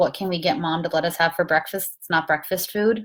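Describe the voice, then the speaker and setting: Recorded very cleanly against a silent background, a woman with an unremarkable speaking voice talks at a moderate pace, her pitch fairly low and her intonation fairly even. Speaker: spiritual talk host. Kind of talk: casual livestream talk. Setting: Facebook live from a guest room.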